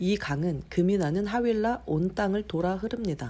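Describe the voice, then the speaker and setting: Speaking with lively intonation, a woman has a dark, mellow, gentle tone at a fairly low pitch. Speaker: mother reading the Bible to her son, not a professional announcer. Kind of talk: Bible reading for children and new believers. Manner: gentle, plain, unpolished reading.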